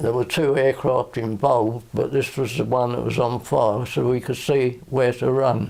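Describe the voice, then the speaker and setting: A man with a Southern English accent speaks at a moderate pace, his medium-pitched voice keeping a fairly even intonation. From Kenley area, England. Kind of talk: oral history interview answer.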